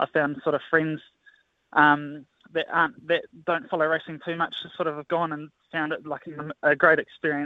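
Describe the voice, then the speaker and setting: Monotone, flat intonation in a New Zealand accent, broken by long, frequent pauses. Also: man, fairly high pitch for a man, moderate pace. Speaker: assistant horse trainer. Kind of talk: casual interview.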